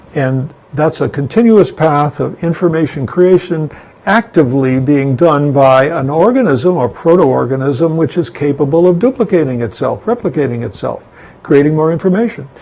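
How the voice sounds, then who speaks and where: With lively intonation and a fairly high pitch, a man keeps a moderate pace amid noticeable background noise. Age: 80s+. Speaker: philosophy lecturer. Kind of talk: lecture. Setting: home studio. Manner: halting.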